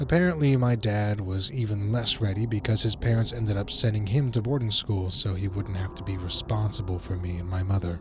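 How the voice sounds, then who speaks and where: Over background music, a man with a fairly low voice talks fairly quickly with ordinary pitch variation and hardly any pauses. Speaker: narrator. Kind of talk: horror story narration.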